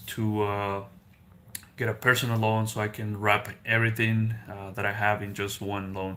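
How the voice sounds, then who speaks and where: Speaking fairly slowly with a Spanish accent, a man has a bright, sharp tone and monotone, flat intonation. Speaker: car salesman and gig driver, finance YouTuber. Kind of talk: casual live stream chat. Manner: hesitant, many fillers.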